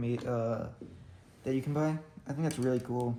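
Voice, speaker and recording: A man speaks quietly at a moderate pace, his medium pitch carrying a dark, mellow tone. His intonation is monotone and flat. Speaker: hobbyist miniature builder. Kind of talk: casual build commentary. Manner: quiet, hushed; halting, many fillers.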